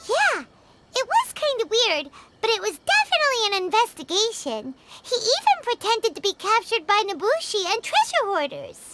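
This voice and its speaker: In a put-on character voice, squeaky and extremely high in pitch, the speaker goes at a moderate pace. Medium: video game. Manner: chatty, cheeky.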